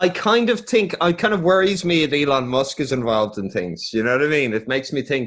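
The speaker has an Irish accent and a fairly quick pace. The pitch swings very widely. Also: man, fairly high pitch for a man. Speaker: podcast host. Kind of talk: casual chat.

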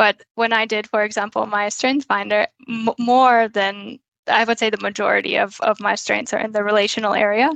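With an American accent and an unremarkable speaking voice, a woman talks at a moderate pace with a fairly high pitch, fairly even intonation and hardly any pauses, the sound dry and close with no echo over a quiet background. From United States. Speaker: occupational hygienist. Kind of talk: interview.

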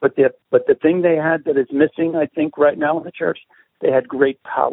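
A man at a moderate pace, with an American accent. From Brooklyn, New York. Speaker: pastor and street evangelist. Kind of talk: radio interview, prayer.

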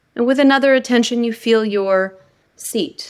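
Lively intonation colors a woman's unremarkable speaking voice as she talks at a moderate pace. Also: very clean recording, silent background. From United States. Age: 40s. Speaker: spiritual teacher and author. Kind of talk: interview; guided meditation.

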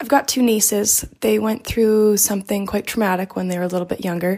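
A woman talks in an ordinary speaking voice, fairly high in pitch, with fairly even intonation. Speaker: caller, aunt of two nieces. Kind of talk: voicemail question. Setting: voice memo.

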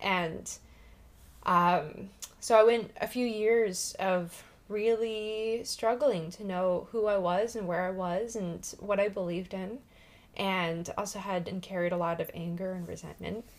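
A woman with an American accent speaks in a normal speaking voice at medium pitch. She goes at a fairly slow pace with fairly even intonation. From US Pacific Northwest (Washington). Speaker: spiritual podcast co-host. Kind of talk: casual chat.

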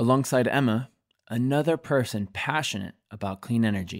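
Speaking at a moderate pace and a medium pitch, a man has a plain, everyday voice with ordinary pitch variation. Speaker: podcast host. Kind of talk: scripted podcast hosting.

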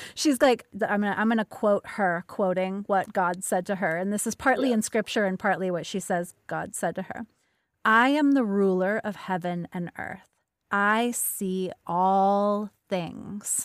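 In a very clean recording with a silent background, a woman speaks at a fairly slow pace at a medium pitch with ordinary pitch variation. The sound is dry and close, with no echo. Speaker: podcast host. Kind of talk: casual interview chat. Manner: soothing, yoga-teacher voice.

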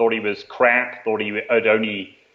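A man speaks at a medium pitch. He has a slight British accent. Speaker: author and performance writer. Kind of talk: casual interview chat.

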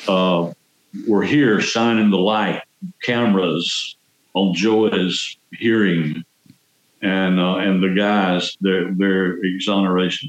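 A man's very deep, low voice in a Southern US accent, very slow and fairly even in intonation, with very even loudness. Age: 70s. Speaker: exonerated former prisoner. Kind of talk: interview. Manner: talkative.

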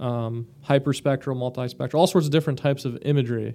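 With an American accent, a man talks at a fairly quick pace, his medium-pitched voice keeping a fairly even intonation. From US, Florida Gulf Coast. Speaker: military veteran and company CEO. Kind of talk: casual interview. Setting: studio.

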